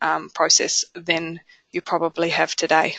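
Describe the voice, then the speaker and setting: Speaking at a fairly quick pace with a New Zealand accent, a woman uses a fairly low pitch, flat monotone intonation and a bright, sharp tone, captured as a dry, close sound with no echo. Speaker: software company presenter. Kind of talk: webinar product presentation. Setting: online webinar. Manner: hesitant, many fillers.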